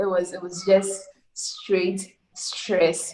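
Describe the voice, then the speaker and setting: The woman's voice sits at a medium pitch. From Ghana. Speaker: software developer. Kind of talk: interview.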